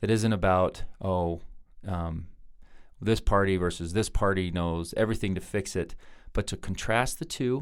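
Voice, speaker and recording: With a Utah accent, a man speaks at a moderate pace in a very deep, low pitch with ordinary pitch variation, recorded very cleanly over a silent background. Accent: American, Utah. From Ogden, Utah. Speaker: U.S. congressman. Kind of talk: podcast interview answer.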